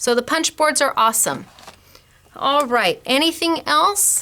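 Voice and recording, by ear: A woman speaks in a high pitch with a bright, sharp tone. Her pace is fairly slow, and her intonation is lively.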